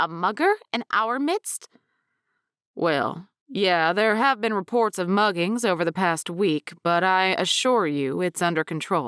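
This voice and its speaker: A gruff, put-on character voice with lively intonation moves at a fairly slow pace. The sound is dry and close, with no echo. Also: woman, medium pitch for a woman. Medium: read story. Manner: gruff, blustery.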